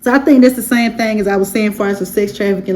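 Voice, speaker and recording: Over noticeable background noise, a woman speaks at a very fast pace with a fairly high pitch and ordinary pitch variation. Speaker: YouTube commentator. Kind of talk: casual commentary recap. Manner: animated.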